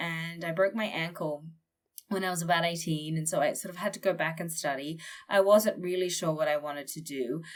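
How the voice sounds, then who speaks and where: This is a woman with an Australian accent. Her pitch sits fairly low and varies in an ordinary way. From Australia, northern Queensland. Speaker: war journalist. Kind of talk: interview conversation.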